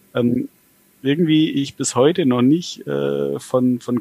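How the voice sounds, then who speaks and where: In a dry, close sound with no echo, a man speaks at a moderate pace and medium pitch. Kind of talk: casual chat. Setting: video call.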